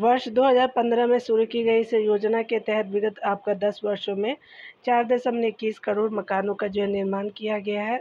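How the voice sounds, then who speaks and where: Monotone, flat intonation with hardly any pauses. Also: woman, fairly high pitch for a woman, moderate pace. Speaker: exam prep teacher. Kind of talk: current affairs tutorial. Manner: halting with fillers.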